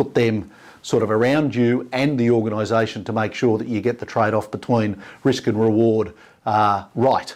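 Against a quiet background, a speaker with an Australian accent talks with fairly even intonation. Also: man. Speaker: business founder and executive chairman. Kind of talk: interview. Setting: office.

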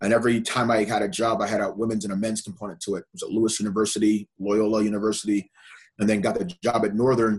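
Speaking very fast in an American accent, a man keeps a fairly low pitch and fairly even intonation. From Evanston, near Chicago, Illinois. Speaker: college volleyball coach. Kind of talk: casual interview. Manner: repetitive, stammering restarts.

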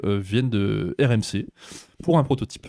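A man with a fairly low, dark and mellow voice speaks fairly slowly in a very clean recording, dry and close with no echo and a silent background. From France. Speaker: theme park youtuber. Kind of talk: casual chat.

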